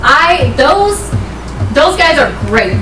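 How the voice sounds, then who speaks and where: A woman speaks loudly in an animated tone, with noticeable background noise and audible room echo. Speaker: financial aid outreach advisor. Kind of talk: public presentation at a school board meeting. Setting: meeting room with microphone.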